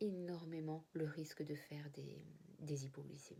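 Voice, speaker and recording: Very deep and low in pitch, this woman's voice has a dark, mellow tone. She speaks at a fairly slow pace. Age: 40s. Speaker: type 1 diabetic sharing her experience. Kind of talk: personal testimony to camera. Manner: hesitant, with fillers and repetitions.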